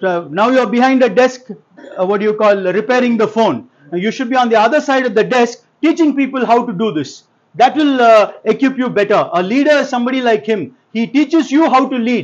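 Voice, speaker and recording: With ordinary pitch variation, a man talks in an extremely high pitch. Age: 50s. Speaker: lawyer, motivational speaker. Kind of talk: motivational speech. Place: classroom. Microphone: lapel.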